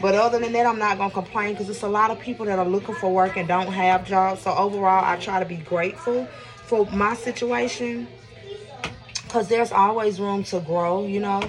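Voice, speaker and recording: With music in the background, a woman of medium pitch and ordinary pitch variation speaks at a fairly quick pace. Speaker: vlogger. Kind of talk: casual vlog talk while cooking. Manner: fast.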